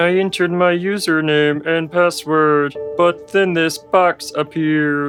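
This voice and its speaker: A man puts on a character voice at a fairly high pitch and a fairly slow pace. Clear music plays in the background. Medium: comedy sketch.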